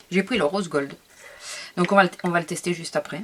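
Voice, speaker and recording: Here a woman speaks with lively intonation. Background noise is noticeable. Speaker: scrapbooking youtuber. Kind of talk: product haul video. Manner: hesitant, many fillers.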